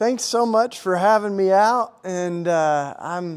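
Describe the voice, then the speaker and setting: In a Southern accent, a man speaks at a high pitch with ordinary pitch variation. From US South, Tennessee. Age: 40s. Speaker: activist and speaker. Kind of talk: talk to a live audience. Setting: stage with audience. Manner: casual, halting with many restarts.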